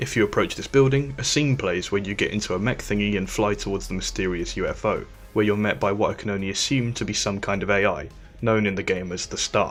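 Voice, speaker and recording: Over music in the background, a man with a fairly low pitch talks at a very fast pace with ordinary pitch variation. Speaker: game reviewer. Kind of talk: video game review narration. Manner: unenthusiastic, dry.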